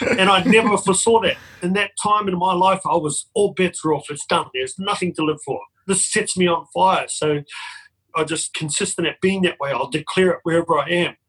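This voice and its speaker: A man speaks in a passionate tone at a high pitch, with ordinary pitch variation. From New Zealand. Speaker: men's mentor sharing lived experience of depression. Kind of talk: personal testimony in interview.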